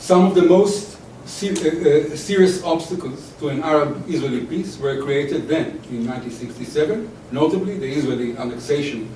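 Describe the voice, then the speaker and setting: A man with a non-native accent, fairly high pitch and lively intonation at a fairly quick pace, in audible room echo with noticeable background noise. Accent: foreign. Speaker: historian, academic speaker. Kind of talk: lecture read from paper.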